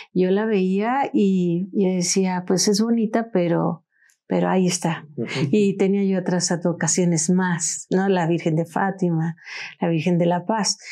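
A woman speaks at a fairly slow pace in a dark, mellow tone, with ordinary pitch variation and very even loudness. The background is quiet. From Mexico, Orizaba, Veracruz; Veracruz, Mexico. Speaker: podcast guest. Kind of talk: podcast conversation on religious history. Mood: warm, devout, enthusiastic. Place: studio. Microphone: lapel.

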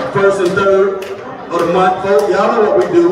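Loud background noise and audible room echo accompany a man as he speaks. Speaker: preacher. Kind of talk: sermon / eulogy preaching to a congregation. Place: church. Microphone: camera far.

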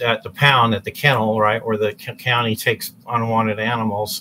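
Light background noise sits under a man's voice. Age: 60s. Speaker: vlogger. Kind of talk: personal monologue video. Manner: halting. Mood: earnest, reflective. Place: kitchen. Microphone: webcam.

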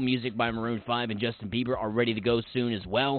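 The sound has no echo and is dry. A man speaks very fast. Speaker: radio DJ; soldier. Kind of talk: radio DJ show. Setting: studio. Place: studio.

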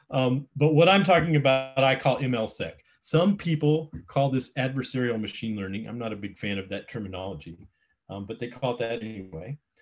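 A man talks at a moderate pace, his loudness swinging widely, with faint music playing in the background. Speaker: presenter. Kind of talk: lecture. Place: home room. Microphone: webcam.

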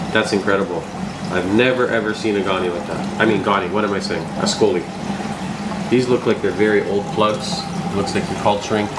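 There is loud background noise. Through it, a man talks at a fairly quick pace. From Canada. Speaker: reef aquarium YouTuber. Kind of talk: casual vlog tour. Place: shop.

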